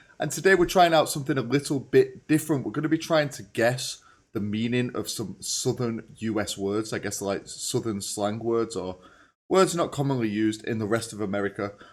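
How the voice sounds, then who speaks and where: Speaking with a British accent, a man uses lively intonation at a medium pitch and a fairly quick pace. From England. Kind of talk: casual reaction commentary.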